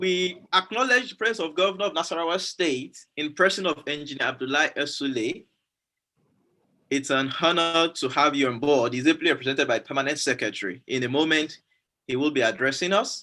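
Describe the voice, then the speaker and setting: The man's voice is fairly high in pitch, with a bright, sharp tone. His intonation is lively and his pace fairly quick. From Nigeria, Yoruba. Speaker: event moderator. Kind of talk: formal event hosting. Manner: formal.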